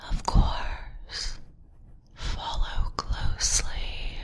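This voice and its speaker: Someone whispers in a put-on character voice. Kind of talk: horror narration. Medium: read story. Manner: whispering, quiet; calm, sinister.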